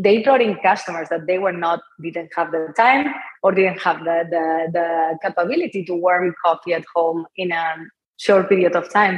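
Speaking at a moderate pace with a Spanish accent, a woman uses a fairly low pitch and ordinary pitch variation. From Spain, Barcelona. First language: Spanish or Catalan. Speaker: entrepreneur, company founder. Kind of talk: interview.

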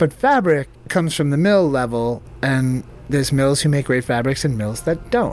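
Noticeable background noise fills the recording. Through it, a man speaks with a fairly high pitch. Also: ordinary pitch variation, moderate pace. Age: 40s. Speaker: clothing brand founder. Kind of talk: interview.

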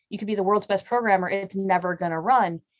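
A woman with an American accent has an unremarkable speaking voice, medium pitch and ordinary pitch variation. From Chicago area. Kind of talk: casual interview chat.

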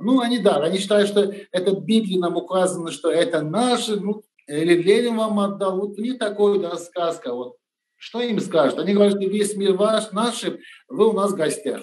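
A man speaks with a Turkish accent at a high pitch. His pace is moderate and his pitch variation ordinary. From Turkey. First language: Turkish (speaking Russian). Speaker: restaurant owner. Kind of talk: interview.

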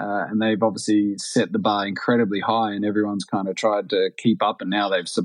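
A man talks with an Australian accent. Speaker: retired pro cyclist. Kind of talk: casual interview chat.

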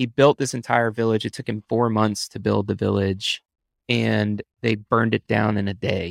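With a normal speaking voice and an American accent, a man talks at a moderate pace in a fairly low pitch with fairly even intonation, the sound dry and close with no echo on a very clean recording with a silent background. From Texas. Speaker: film director. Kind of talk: casual interview chat.

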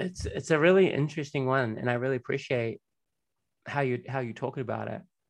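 In a normal speaking voice, a man talks at a fairly quick pace and medium pitch, with ordinary pitch variation. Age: 40s. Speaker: podcast host. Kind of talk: interview.

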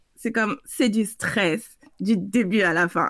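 A fairly high-pitched woman with an unremarkable speaking voice and ordinary pitch variation. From French Guiana. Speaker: consultant and coach. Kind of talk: interview.

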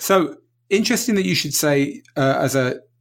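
Lively intonation and a fairly high pitch mark this man's plain, everyday voice at a moderate pace. The recording is very clean, against a silent background. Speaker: podcast host. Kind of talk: casual interview conversation.

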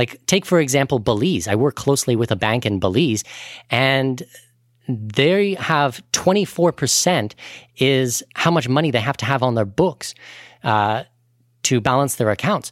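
An unremarkable speaking voice: a man with a Canadian accent talks at a medium pitch and moderate pace with lively intonation. The sound is dry and close with no echo, in a very clean recording with a silent background. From Canada. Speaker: expat finance podcaster and author. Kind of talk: podcast interview.

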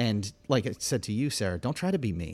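Over a very clean recording with a silent background, a man speaks at a moderate pace in an ordinary speaking voice with lively intonation. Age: 40s. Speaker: youth ministry leader. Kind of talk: casual interview chat.

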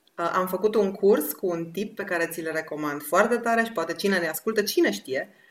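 The speaker is a woman with a medium pitch. She talks at a moderate pace with ordinary pitch variation. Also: hardly any pauses. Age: 40s. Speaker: women's project host. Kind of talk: casual chat. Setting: online video call. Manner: animated.

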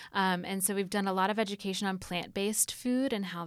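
The woman has an unremarkable speaking voice at medium pitch and a moderate pace. The recording is very clean with a silent background. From US South, Atlanta. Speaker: university sustainability administrator. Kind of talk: interview. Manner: frequent filler words, um.

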